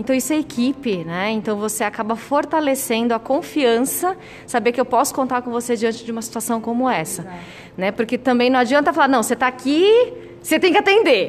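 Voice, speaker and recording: A woman's high, lively voice at a fairly quick pace over noticeable background noise. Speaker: podcast host, nurse. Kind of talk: interview. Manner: animated.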